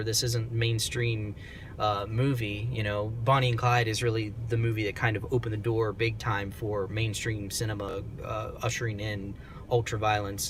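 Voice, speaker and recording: Noticeable background noise and audible room echo fill the recording. A man talks at medium pitch and a moderate pace. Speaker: film reviewer. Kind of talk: casual monologue review. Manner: soft-spoken; hesitant, many fillers.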